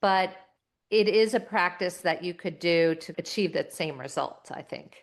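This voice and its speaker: With a plain, everyday voice, a woman speaks at a fairly slow pace and a fairly low pitch, her pitch varying an ordinary amount and her loudness swinging widely. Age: 50s. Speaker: entrepreneur, former agency CEO. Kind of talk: interview conversation.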